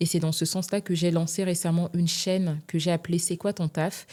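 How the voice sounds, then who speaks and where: In a very clean recording with a silent background, a woman with a fairly low pitch and a dark, mellow tone speaks at a moderate pace in a monotone, flat delivery. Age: 20s. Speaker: human resources manager. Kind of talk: interview.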